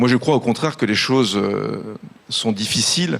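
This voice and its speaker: This is an ordinary speaking voice. The pace is moderate, and the pitch variation is ordinary. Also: man. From France (urban priority zones), born in Italy. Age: 40s. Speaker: business executive. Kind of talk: conference panel speech.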